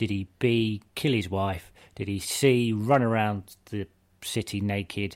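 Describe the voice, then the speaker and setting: With a normal speaking voice, a man talks in a fairly low pitch and fairly even intonation. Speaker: podcast host. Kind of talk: casual chat.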